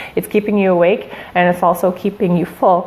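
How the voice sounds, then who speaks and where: There is noticeable background noise behind a woman whose voice sits at a fairly low pitch. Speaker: shift worker giving fitness tips. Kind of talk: live stream talk. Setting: Facebook live broadcast. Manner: animated.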